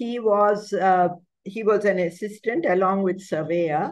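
A woman is speaking. She goes at a very slow pace. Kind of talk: lecture. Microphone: video call.

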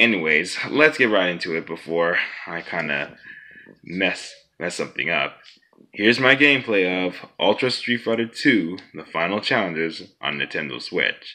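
The voice moves through very wide pitch swings at a moderate pace over a quiet background. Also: man, very deep, low pitch for a man. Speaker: gaming vlogger. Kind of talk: casual vlog chat. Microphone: phone near.

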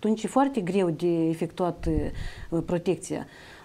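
A woman's dark, mellow tone. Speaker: plant health monitoring official. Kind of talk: expert interview. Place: studio. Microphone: lapel.

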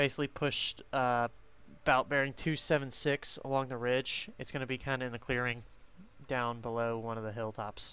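This man's bright, sharp tone moves at a moderate pace with fairly even intonation, recorded dry with no echo. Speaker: gaming squad leader. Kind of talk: tactical game comms. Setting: online voice chat. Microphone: headset.

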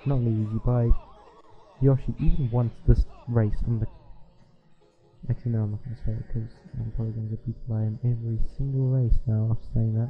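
A man talks in a monotone, flat intonation while music plays in the background. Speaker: gaming youtuber. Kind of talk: gameplay commentary.

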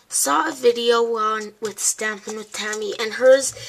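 Noticeable background noise around a woman's fairly high-pitched voice. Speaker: crafting YouTuber. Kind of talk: tutorial. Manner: halting, many fillers.

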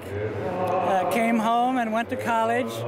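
A man speaks at a fairly slow pace. The sound is dry with no echo, but there is loud background noise. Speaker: war veteran. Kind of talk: interview answer. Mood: warm, friendly, reflective. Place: hall. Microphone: handheld.

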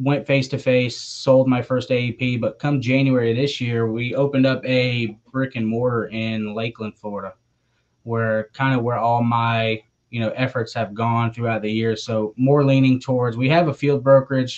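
Monotone, flat intonation from a man at a moderate pace. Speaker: remote podcast guest. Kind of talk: interview answer. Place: home room. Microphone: video call.

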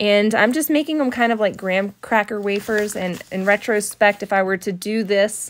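A woman talks at a moderate pace with hardly any pauses. Her pitch variation is ordinary. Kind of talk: tutorial narration.

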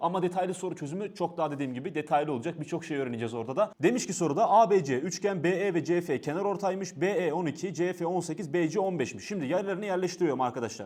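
Against a quiet background, a man talks at a very fast pace with high pitch. His tone is animated and his intonation lively. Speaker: exam coach and university student; exam coach. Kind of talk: tutorial. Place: studio. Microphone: lapel.

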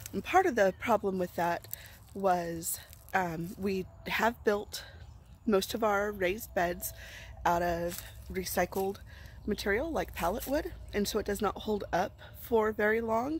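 A woman of medium pitch with vocal fry and ordinary pitch variation, at a fairly slow pace with long, frequent pauses. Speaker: urban gardener. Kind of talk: casual vlog talk to camera.

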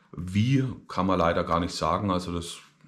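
A man's very deep, low voice carries audible room echo. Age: 30s. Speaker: vlogger. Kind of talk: personal video diary. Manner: hesitant, many filler sounds.

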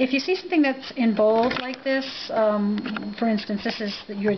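A woman's voice moves with ordinary pitch variation. Light background noise can be heard. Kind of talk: tutorial. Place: office. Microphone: phone near.

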